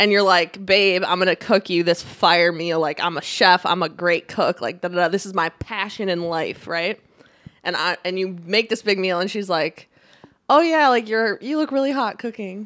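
A woman with a plain, everyday voice speaks at a moderate pace and medium pitch with ordinary pitch variation. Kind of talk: casual chat. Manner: laughs often, banters.

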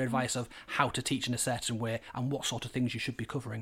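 Someone with a Yorkshire accent talks at a very fast pace on a very clean recording with a silent background. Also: man. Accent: Hull, Yorkshire. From Hull, northern England. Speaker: primary teacher and history specialist. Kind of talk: interview conversation.

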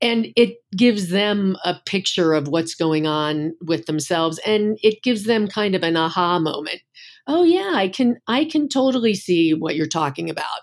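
A woman speaks in an ordinary speaking voice at medium pitch and moderate pace, her intonation lively, on a very clean recording with a silent background. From US Northeast. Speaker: acupuncturist. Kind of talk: interview conversation.

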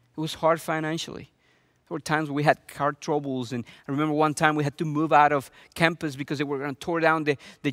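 A man speaks at a very fast pace in a fairly high pitch, his intonation flat and monotone. The sound is dry and close, with no echo. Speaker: pastor. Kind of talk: sermon.

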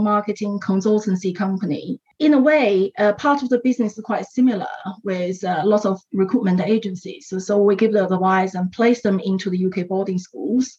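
A woman speaks at a medium pitch with a Chinese accent. Her pitch varies in an ordinary way, and she hardly pauses at all. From China. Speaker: education entrepreneur. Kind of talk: interview.

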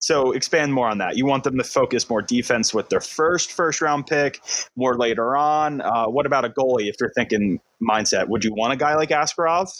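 A man with a normal speaking voice talks at a medium pitch and moderate pace, his loudness very even, on a very clean recording with a silent background. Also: ordinary pitch variation. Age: 20s. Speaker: hockey podcast host. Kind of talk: casual chat.

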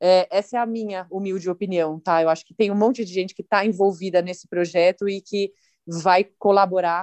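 In an unremarkable speaking voice, a woman talks at medium pitch with fairly even intonation and a dry, close sound with no echo. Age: 30s. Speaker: professional cyclist. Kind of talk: interview.

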